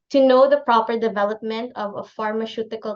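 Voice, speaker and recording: In a Filipino accent, a woman with a fairly high pitch talks at a moderate pace with fairly even intonation. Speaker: clinical pharmacist. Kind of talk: lecture.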